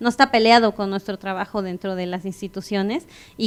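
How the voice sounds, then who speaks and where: Ordinary pitch variation at a fairly quick pace. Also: woman. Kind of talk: keynote lecture. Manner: fast.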